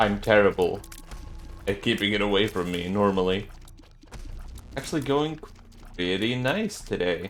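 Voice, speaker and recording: Over music in the background, a man with a fairly low pitch speaks at a moderate pace, leaving long, frequent pauses. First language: not English. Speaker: gaming YouTuber. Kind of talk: gameplay commentary. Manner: casual, joking.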